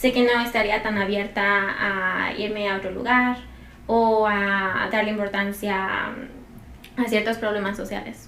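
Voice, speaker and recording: Amid audible room echo, a woman speaks at a fairly slow pace and medium pitch with monotone, flat intonation. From Mexico. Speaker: young immigrant. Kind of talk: casual chat.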